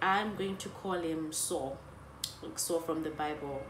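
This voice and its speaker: A woman with a fairly low pitch and ordinary pitch variation speaks at a moderate pace, with audible room echo and noticeable background noise. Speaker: YouTuber. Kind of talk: storytime vlog. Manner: animated.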